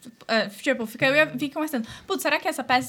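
Speaking at a very fast pace, a woman uses a raised, projected voice pitched high. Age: 20s. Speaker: entrepreneur. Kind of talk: casual chat.

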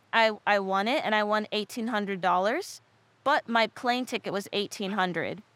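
A woman with a plain, everyday voice speaks at a moderate pace and a fairly high pitch, with ordinary pitch variation. The sound is dry and close with no echo. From Texas and Michigan. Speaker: professional surfer. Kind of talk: casual chat. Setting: studio.

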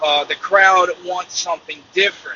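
A man with a Mississippi accent speaks at a moderate pace in a high pitch, his intonation fairly even, over noticeable background noise. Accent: Southern US (Mississippi). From US South, northeast Mississippi. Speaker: truck driver, podcaster. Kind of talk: casual monologue. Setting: in a truck on the road. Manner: casual, with fillers.

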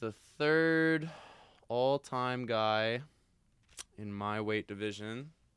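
A man's medium-pitched voice, bright and sharp in tone, with ordinary pitch variation and a very slow pace. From Calgary, Canada. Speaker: Muay Thai fighter. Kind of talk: casual chat about fights. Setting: studio.

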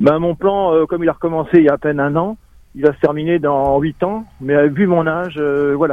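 A man at a fairly quick pace, his intonation fairly even. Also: fairly high pitch for a man. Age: 60s. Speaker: former hotel manager in early retirement. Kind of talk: testimony.

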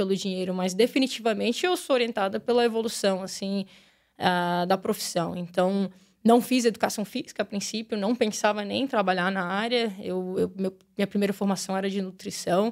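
In a very clean recording with a silent background, a woman with a plain, everyday voice speaks at a moderate pace with ordinary pitch variation. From Brazil, Brasília. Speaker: women's football coach. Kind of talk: casual interview. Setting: studio.

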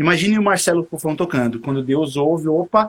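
Here a man with an unremarkable speaking voice talks at a fairly high pitch with ordinary pitch variation. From São Paulo, Brazil (East Zone). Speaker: saxophonist. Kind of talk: casual interview. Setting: live stream video call.

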